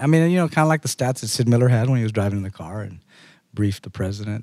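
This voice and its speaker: Very fast, lively speech in a dark, mellow tone with an American accent, on a very clean recording with a silent background. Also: man. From Texas border, Eagle Pass. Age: 40s. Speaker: state legislator. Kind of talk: interview. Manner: halting.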